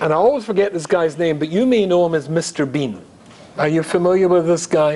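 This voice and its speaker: Noticeable background noise sits behind the recording. A man talks in a high-pitched voice. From Scotland, Glasgow. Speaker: rabbi, public speaker. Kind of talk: lecture to live audience. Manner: animated.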